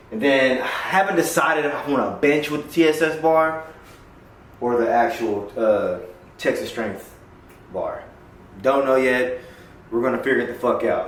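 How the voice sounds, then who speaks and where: Amid noticeable background noise and audible room echo, a man with a fairly high pitch talks at a moderate pace, using ordinary pitch variation and long, frequent pauses. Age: 30s. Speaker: powerlifter, coach and veteran vlogger. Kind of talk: casual vlog talk to camera. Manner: casual, profane.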